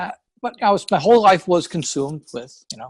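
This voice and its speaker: With a strong New York accent, a man speaks at a fairly quick pace, the sound dry and close with no echo. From New York, Long Island. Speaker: real estate investor. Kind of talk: interview. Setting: call.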